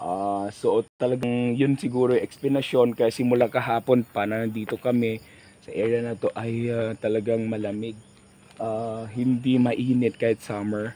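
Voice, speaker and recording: Speaking in a flat monotone, this man's voice rests at a medium pitch and moves along at a moderate speed. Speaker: vlogger. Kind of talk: travel vlog narration. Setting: outdoors.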